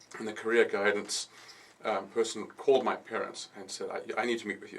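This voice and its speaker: A man talks at a very fast pace in a South African accent. Noticeable background noise runs behind him. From South Africa (KwaZulu-Natal, Pietermaritzburg). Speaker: architect and designer. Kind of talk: radio interview. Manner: hesitant, with fillers and repetitions.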